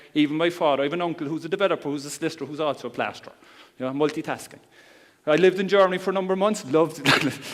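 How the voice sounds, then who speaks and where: A man with a Cork accent speaks very fast, his fairly high pitch held in fairly even intonation. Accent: Cork Irish. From Ireland, Cork. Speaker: internet marketer. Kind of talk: seminar talk. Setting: stage with audience. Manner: calm.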